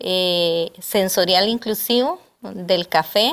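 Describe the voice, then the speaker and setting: A woman's very slow speech over a quiet background. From Costa Rica, San José; Costa Rica. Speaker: tourism entrepreneur; interview guest. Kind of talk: interview. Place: studio. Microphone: lapel.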